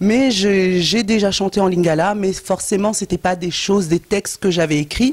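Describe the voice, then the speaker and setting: With hardly any pauses and very even loudness, a woman with a plain, everyday voice talks at a moderate pace, her medium pitch moving with ordinary variation. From France. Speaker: gospel singer. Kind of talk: interview.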